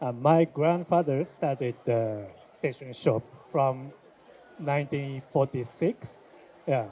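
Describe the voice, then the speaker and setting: With long, frequent pauses, a man speaks at a fairly slow pace in a fairly high pitch with ordinary pitch variation. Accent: Japanese. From Japan. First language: Japanese. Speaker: shop owner. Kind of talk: interview. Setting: trade fair. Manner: halting, many fillers.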